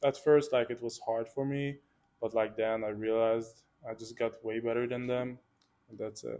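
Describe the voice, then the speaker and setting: In a Hungarian accent, a man at medium pitch speaks at a moderate pace with monotone, flat intonation and long, frequent pauses. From Hungary, Budapest. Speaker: student athlete, water polo player. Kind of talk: interview.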